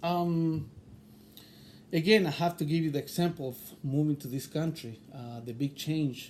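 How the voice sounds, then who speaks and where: In a slight Chilean accent, a man with a fairly high pitch speaks at a moderate pace with ordinary pitch variation, big swings in loudness, and long, frequent pauses. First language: Spanish. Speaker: interviewee. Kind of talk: interview. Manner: halting.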